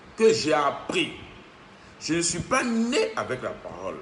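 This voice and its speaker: Amid noticeable background noise and audible room echo, a man speaks at a very slow pace. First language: Ivorian local language (French not mother tongue) (speaking French). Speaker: self-styled spiritual teacher. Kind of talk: spiritual monologue. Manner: halting, repetitive.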